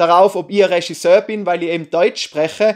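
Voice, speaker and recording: A man with a Tyrolean accent, fairly even intonation, quiet surroundings. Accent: Tyrolean Austrian German. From Austria, Tyrol. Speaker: YouTuber, film reviewer. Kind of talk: casual vlog review. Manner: casual, hesitant with fillers.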